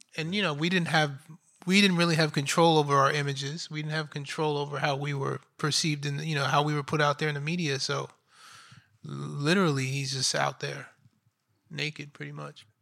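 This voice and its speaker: With an American accent, a man speaks at a fairly quick pace and fairly high pitch in a bright, sharp tone and monotone, flat intonation, recorded very cleanly against a silent background. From Astoria, Queens, New York. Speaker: documentary director. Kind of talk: panel Q&A.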